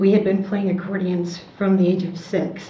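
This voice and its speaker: A woman with an American accent speaks at a medium pitch with fairly even intonation, amid noticeable background noise and audible room echo. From US Midwest, Chicago. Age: 60s. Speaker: war veteran, entertainer. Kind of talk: oral history interview.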